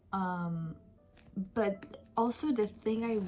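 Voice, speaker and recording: The pitch shows ordinary variation. Behind the voice, music is playing. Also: woman. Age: 20s. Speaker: book youtuber. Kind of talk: casual chat. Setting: at home. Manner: loud; animated.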